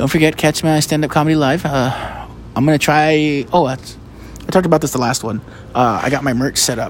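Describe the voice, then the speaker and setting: With an American accent, a man talks at a fairly quick pace and a fairly high pitch, his intonation fairly even against noticeable background noise. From United States. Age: 30s. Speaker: podcaster and stand-up comedian. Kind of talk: casual monologue. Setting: outdoors.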